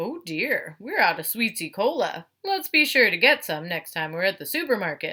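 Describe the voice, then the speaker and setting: Putting on a character voice, a woman talks at a medium pitch with hardly any pauses. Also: moderate pace. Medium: read story.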